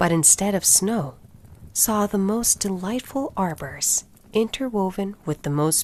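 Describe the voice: What you hear is plain reading aloud.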